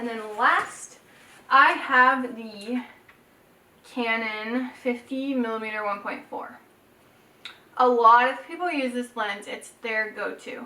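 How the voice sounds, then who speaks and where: Her voice high in pitch, a woman speaks fairly slowly and shows ordinary pitch variation. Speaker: photographer, YouTuber. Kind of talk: casual tutorial vlog. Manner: casual, chatty.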